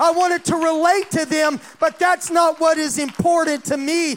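A man speaks at an extremely high pitch. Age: 60s. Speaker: pastor. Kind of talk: sermon. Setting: church.

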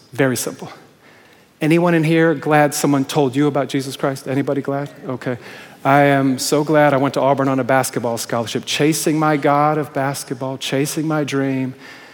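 A man talks in a fairly high pitch with monotone, flat intonation. Noticeable background noise runs under his voice. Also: moderate pace. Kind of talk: sermon. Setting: church.

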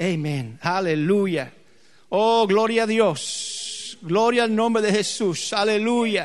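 In a room with audible echo, a man with a high pitch and ordinary pitch variation speaks very slowly. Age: 50s. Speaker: pastor. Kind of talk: sermon. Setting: church.

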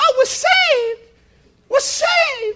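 A female-sounding, put-on character voice at an extremely high pitch.

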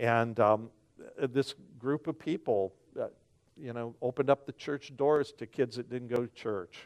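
A man at medium pitch talks at a moderate pace with ordinary pitch variation, long, frequent pauses and big swings in loudness. The sound is dry and close with no echo, and the background is quiet. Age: 60s. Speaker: pastor. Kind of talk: sermon. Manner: halting.

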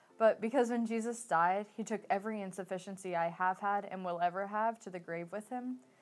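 Over music in the background, a woman speaks at a moderate pace and a medium pitch with fairly even intonation. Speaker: church member sharing testimony. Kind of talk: testimony.

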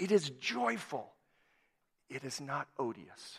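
A man's bright, sharp voice at a very slow pace, with very wide pitch swings. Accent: Upper Midwest. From US Upper Midwest (southwest Minnesota). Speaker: missionary and guest preacher. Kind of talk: sermon. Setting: church.

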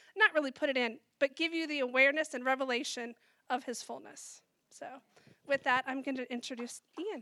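Speaking at a moderate pace in a raised, projected voice, a woman with a high pitch is heard in a dry, close sound with no echo. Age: 40s. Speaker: church member sharing testimony. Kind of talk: testimony.

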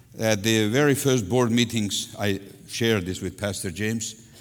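Speaking fairly slowly with a Russian accent, the man has a fairly low voice. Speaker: pastor. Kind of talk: sermon. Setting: church. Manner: animated.

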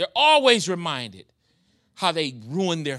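A man with an American accent speaks at a high pitch in a warm, animated tone that is also bright and sharp. The background is quiet. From New York. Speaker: guest preacher; pastor. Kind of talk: sermon. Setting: church. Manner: warm, animated, pulpit-style call and response.

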